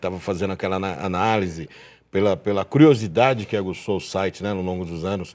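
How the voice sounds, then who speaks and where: A man speaks over a quiet background. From Brazil. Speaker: TV show host about auctions; TV show host. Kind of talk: live TV interview. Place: studio. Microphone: lapel.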